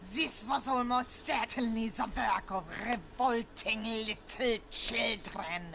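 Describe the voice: A woman speaks in a cartoonish character voice with a fairly high pitch and a fairly slow pace. Background noise is clearly audible.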